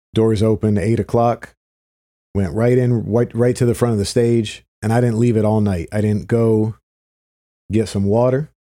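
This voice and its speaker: A man with an American accent speaks at medium pitch and a moderate pace, in a dark, mellow tone with fairly even intonation and very even loudness. The recording is very clean, with a silent background. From Philadelphia area, US. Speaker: podcast host, reggae promoter. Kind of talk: solo podcast monologue.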